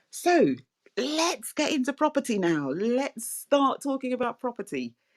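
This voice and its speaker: The voice moves at a moderate pace with very wide pitch swings and vocal fry. The sound is dry and close, with no echo. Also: woman. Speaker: podcast host. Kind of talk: casual chat. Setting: online audio room.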